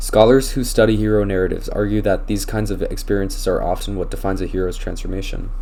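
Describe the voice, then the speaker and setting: A man barely stops for breath. His delivery is very fast. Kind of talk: class presentation read. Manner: some stuttering and slurred words.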